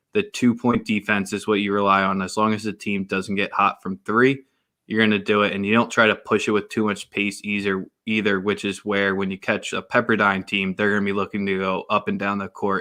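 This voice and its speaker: A man with a Philadelphia accent talks at a fairly quick pace in a fairly low, bright, sharp voice with monotone, flat intonation. The recording is very clean, with a silent background. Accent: Philly. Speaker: sports podcast host. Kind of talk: casual sports chat.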